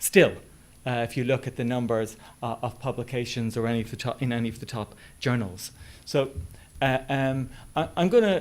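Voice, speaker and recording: Over a very clean recording with a silent background, a man with an Irish accent talks at a moderate pace in a medium pitch. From west of Ireland. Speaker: business school head, academic. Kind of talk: presentation. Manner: hesitant, many fillers.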